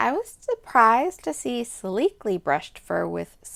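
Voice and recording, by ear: Text is being read aloud in a natural voice.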